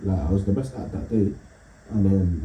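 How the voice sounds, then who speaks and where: At a fairly quick pace, a man speaks in a dark, mellow tone that is somewhat breathy. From East London. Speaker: comedian. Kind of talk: casual chat. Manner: fast.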